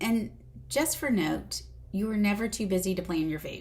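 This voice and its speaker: In a room with audible echo, a woman with a Southern US accent speaks at a fairly slow pace. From US South. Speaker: weight loss doctor. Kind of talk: video lesson. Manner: casual.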